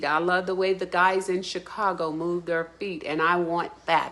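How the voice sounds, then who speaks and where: At a moderate pace and a fairly low pitch, the woman talks in an ordinary speaking voice. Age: 60s. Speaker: dance student. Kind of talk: testimonial.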